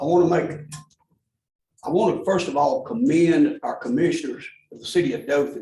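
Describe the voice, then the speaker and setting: A fairly high-pitched man's voice with a dark, mellow tone and lively intonation, plus audible room echo. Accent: Alabama. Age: 70s. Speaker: public commenter. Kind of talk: public comment at government meeting.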